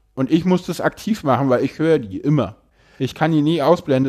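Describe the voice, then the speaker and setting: The voice has a dark, mellow tone with ordinary pitch variation. The recording is very clean and the background silent. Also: man. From Berlin, Germany. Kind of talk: casual interview conversation.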